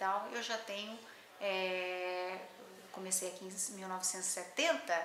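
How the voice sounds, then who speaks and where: A woman speaks at medium pitch and a fairly slow pace, with audible room echo and noticeable background noise. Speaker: botanist, scientific researcher. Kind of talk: interview, oral history. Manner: halting, many fillers.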